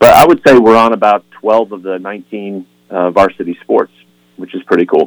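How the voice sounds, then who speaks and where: With a plain, everyday voice, a man talks at a fairly quick pace and fairly low pitch, with ordinary pitch variation, big swings in loudness, and a dry, close sound with no echo. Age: 50s. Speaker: sports chaplain and author. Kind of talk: radio interview.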